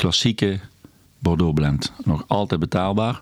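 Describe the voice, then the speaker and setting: This man's voice sits very deep and low, and he keeps a moderate pace. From Netherlands, South Limburg (Valkenburg aan de Geul). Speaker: restaurant host and wine expert. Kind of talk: casual interview.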